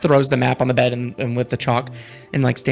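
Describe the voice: Here the delivery is plain reading aloud.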